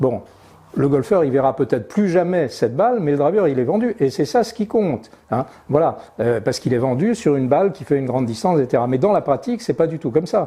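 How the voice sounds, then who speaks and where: Very fast speech comes from a man with a fairly high pitch. His pitch swings very widely. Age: 70s. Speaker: golf clubmaker and fitter. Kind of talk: interview. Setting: workshop. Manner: hesitant, many fillers.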